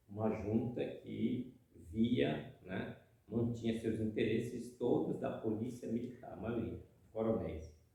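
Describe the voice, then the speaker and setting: Audible room echo surrounds a man at medium pitch. He talks at a very slow pace with ordinary pitch variation. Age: 60s. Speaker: housing movement activist. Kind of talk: interview testimony.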